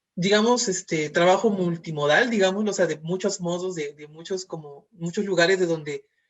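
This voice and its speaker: At a moderate pace, a man with a Mexican accent speaks in a high voice with ordinary pitch variation. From Mexico, Veracruz. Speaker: moderator. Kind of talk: interview. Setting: video call. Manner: halting.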